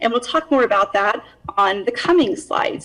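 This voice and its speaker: A woman speaks at a fairly high pitch with very wide pitch swings, and noticeable background noise can be heard. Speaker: county department head. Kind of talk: budget presentation. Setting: video call. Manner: formal.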